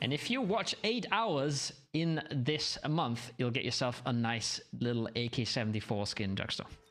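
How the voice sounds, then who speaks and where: A non-native accent at a fairly slow pace, with music in the background. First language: not English. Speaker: esports caster. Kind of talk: live stream commentary. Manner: casual, conversational.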